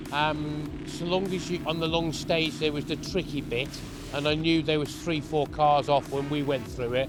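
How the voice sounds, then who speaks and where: A man's fairly high-pitched, flat, monotone voice at a moderate pace, with music in the background and audible room echo. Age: 60s. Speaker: rally driver. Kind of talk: post-event interview. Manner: halting.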